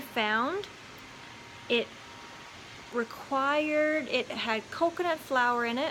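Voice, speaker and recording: A woman speaks very slowly in a high voice, with long, frequent pauses and ordinary pitch variation. Background noise is noticeable. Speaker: lifestyle vlogger. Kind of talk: casual vlog chat. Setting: indoors at home. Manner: soft-spoken.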